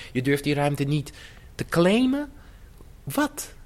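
Talking at a fairly slow pace, a man's voice shows very wide pitch swings. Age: 50s. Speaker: choreographer. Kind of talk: interview.

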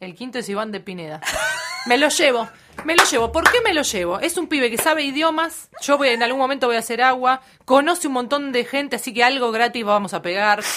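Over noticeable background noise, a woman with a high pitch talks at a very fast pace, showing ordinary pitch variation and big swings in loudness. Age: 30s. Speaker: radio announcer. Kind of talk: casual chat.

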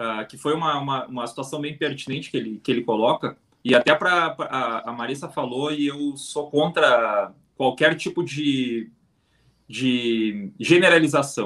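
This man has an ordinary speaking voice with a fairly high pitch and ordinary pitch variation. He talks at a fairly slow pace with big swings in loudness. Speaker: football fan podcast host. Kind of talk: casual live-stream chat.

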